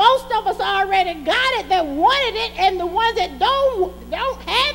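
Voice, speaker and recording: With light background noise behind her, a woman with an extremely high pitch speaks at a fairly slow pace in an animated tone with lively intonation. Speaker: preacher. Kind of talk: sermon; call-and-response preaching, exhorting the congregation directly. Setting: church. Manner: animated, fervent, rhythmic pulpit delivery with repeated emphatic refrains; urgent, testifying, rising in intensity with praise shouts. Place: church.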